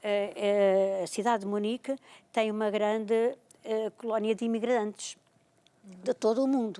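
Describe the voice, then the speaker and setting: A woman speaks at a fairly slow pace in a fairly high pitch with a dark, mellow tone, leaving long, frequent pauses. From Portugal, Oeste region (Bombarral). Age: 60s. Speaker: retired librarian and storyteller. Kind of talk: TV talk show interview.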